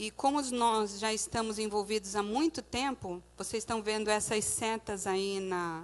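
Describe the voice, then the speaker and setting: A woman talks fairly slowly, with ordinary pitch variation. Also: fairly high pitch for a woman, hardly any pauses. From Brazil, Santos (São Paulo state). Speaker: missionary. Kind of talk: church mission presentation with slides. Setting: church service.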